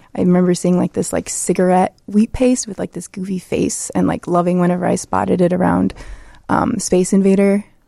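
A woman with a Chicago accent has a dark, mellow tone at a medium pitch. Her pace is fairly quick and her intonation fairly even. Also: dry, close sound with no echo. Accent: Chicago American. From Chicago, Southwest Side. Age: 20s. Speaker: graffiti artist. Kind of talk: interview.

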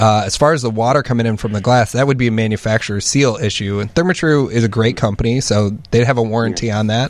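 A man at medium pitch, very fast pace, hardly any pauses. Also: ordinary pitch variation. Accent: American. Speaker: home remodeling specialist. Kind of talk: casual chat. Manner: animated.

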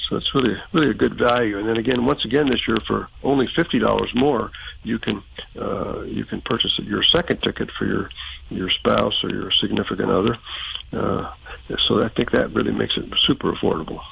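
A man is talking fairly quickly. There's noticeable background noise behind him. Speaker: event organizer. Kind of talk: radio interview.

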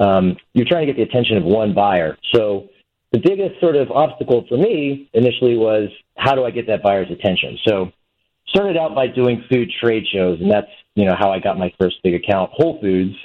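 A man talks at a moderate pace and medium pitch, with lively intonation. He has an unremarkable speaking voice. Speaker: food brand founder. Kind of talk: startup pitch. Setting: phone call.

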